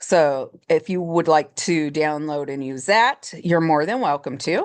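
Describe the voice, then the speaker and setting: The woman's voice is very deep and low, with ordinary pitch variation. She speaks at a fairly slow pace. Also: quiet background. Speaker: education program chair. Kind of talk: tutorial. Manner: halting with self-corrections.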